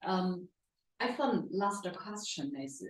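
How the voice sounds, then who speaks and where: This is a woman talking with a Chinese accent. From China. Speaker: audience member asking a question. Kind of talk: audience question. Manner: loud; halting, many fillers.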